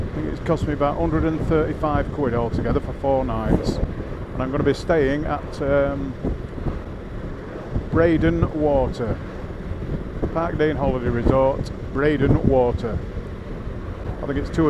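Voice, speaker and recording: A man talks at a fairly slow pace, with ordinary pitch variation and long, frequent pauses. The sound is dry with no echo, over loud background noise. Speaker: motorcycle vlogger. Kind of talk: casual vlog chat. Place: motorbike.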